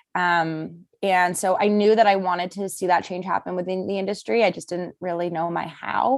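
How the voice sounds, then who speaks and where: A woman's unremarkable speaking voice in a Canadian accent, medium in pitch and moderate in pace, in a very clean recording with a silent background. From Vancouver suburbs, Canada (Surrey/North Delta). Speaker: outdoor inclusion advocate, nonprofit founder. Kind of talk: casual interview.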